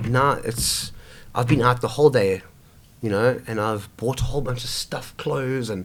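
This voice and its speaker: A man with a South African accent speaks at a fairly slow pace and medium pitch. He leaves long, frequent pauses. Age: 20s. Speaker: homeless man sharing life story. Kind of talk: casual interview conversation. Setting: over coffee. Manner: halting, many fillers and restarts.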